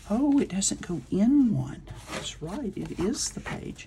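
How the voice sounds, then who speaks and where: A soft-spoken woman mumbles at a fairly slow pace with a medium pitch and very wide pitch swings. Noticeable background noise sits behind her. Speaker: crafting video creator. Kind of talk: crafting tutorial. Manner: mumbling.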